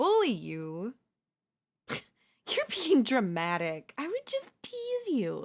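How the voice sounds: In a put-on character voice, a woman talks slowly at a high pitch with very wide pitch swings.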